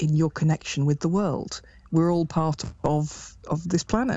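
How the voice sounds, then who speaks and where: This woman speaks with an English Midlands accent, her very deep, low pitch carried on fairly even intonation. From England, Derby. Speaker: druid priestess and chaplain. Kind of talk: casual interview.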